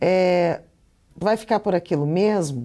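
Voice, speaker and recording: This woman has a Curitiba accent, a medium pitch and a dark, mellow tone with ordinary pitch variation. The recording is very clean, with a silent background. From Curitiba, Brazil. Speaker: Portuguese teacher. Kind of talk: lecture. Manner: casual, conversational.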